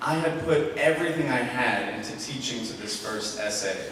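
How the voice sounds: A man talks at a moderate pace in a fairly bright tone. Room echo is audible.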